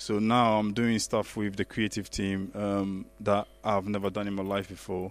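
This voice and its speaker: A man's fairly low voice at a moderate pace, monotone and flat, with hardly any pauses. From Ghana. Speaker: IT architect and church youth leader. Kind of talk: panel interview.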